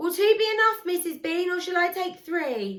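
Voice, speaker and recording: A woman's squeaky, put-on character voice, extremely high in pitch, raised and projected, at a moderate pace. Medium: read story. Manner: blunt, coarse.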